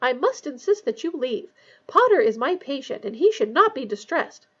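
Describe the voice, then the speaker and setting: Put-on character voice of a woman, squeaky and extremely high, swinging very widely in pitch at a moderate pace. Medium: read story. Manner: brisk, insistent.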